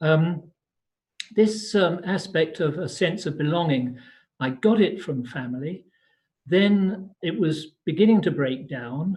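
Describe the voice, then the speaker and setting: This man's voice sits at a fairly high pitch with ordinary pitch variation. He speaks at a fairly slow pace. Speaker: spiritual practitioner. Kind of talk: online talk. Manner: halting.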